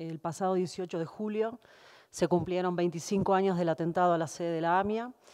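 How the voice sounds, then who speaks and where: Everything behind the voice is quiet. Its tone is dark and mellow. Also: woman. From Argentina. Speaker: lawyer for the petitioners. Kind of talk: legal hearing questioning and closing argument. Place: hall. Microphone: podium.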